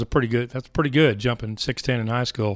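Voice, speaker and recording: In an American accent, a man with an unremarkable speaking voice talks at a fairly quick pace, medium pitch and fairly even intonation. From Texas, Dallas area. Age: 50s. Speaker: mergers and acquisitions advisor, ministry worker. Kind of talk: interview.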